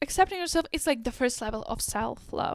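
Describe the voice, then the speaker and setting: A woman with a non-native accent speaks at a moderate pace in an animated tone. The sound is dry and close, with no echo. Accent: foreign. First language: not English. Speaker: lifestyle YouTuber. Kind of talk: casual advice monologue.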